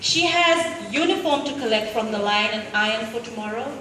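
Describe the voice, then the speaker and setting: Noticeable background noise runs through the clip. The woman's pace is fairly slow. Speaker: spoken word poet. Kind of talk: spoken word poetry performance. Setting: live event.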